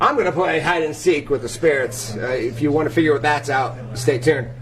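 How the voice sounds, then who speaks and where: Over music in the background, a man with a fairly high voice talks at a fairly quick pace with ordinary pitch variation. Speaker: paranormal investigator. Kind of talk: live-streamed event tour. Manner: loud; animated.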